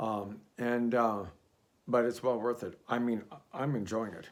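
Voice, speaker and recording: A man at medium pitch, speaking at a fairly slow pace. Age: 60s. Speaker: fragrance reviewer. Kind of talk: casual product review. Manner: hesitant, many fillers.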